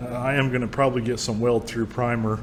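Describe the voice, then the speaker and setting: A man with a medium-pitched voice talks at a fairly quick pace, with noticeable background noise and audible room echo. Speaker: DIY trailer restoration YouTuber. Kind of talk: workshop tutorial. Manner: casual, conversational.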